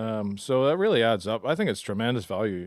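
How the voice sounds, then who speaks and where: Speaking at a moderate pace, a man with a Northern Irish accent uses a medium pitch. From Northern Ireland. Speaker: golf club manager and podcast co-host. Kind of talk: casual chat.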